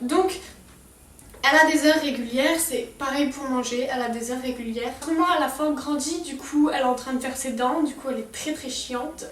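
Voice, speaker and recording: High-pitched woman at a fairly quick pace, fairly even intonation, with noticeable background noise and audible room echo. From Strasbourg, Alsace, France. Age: young (18). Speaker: lifestyle vlogger. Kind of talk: casual vlog talk to camera.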